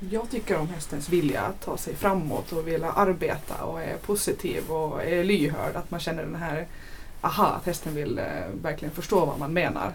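A woman speaks in a fairly low voice with fairly even intonation. Noticeable background noise and audible room echo are present. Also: moderate pace. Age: 20s. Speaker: show jumping rider. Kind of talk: casual chat.

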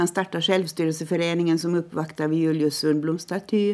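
A woman's fairly low voice, dark and mellow in tone, with fairly even intonation. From Åland, Finland. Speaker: parliamentary candidate. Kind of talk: interview. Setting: studio.

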